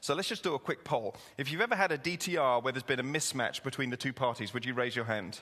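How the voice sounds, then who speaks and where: A man with an English accent, medium pitch and a bright, sharp tone, talking at a very fast pace with hardly any pauses and ordinary pitch variation. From England. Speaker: pastor. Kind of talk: sermon. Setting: church with congregation. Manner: conversational, humorous.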